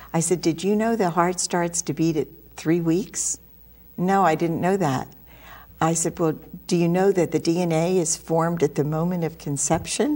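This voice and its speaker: A woman speaks at a moderate pace in a fairly low pitch with a dark, mellow tone. Her intonation is fairly even, and the recording is very clean with a silent background. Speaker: pro-life sidewalk counselor. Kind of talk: interview testimony.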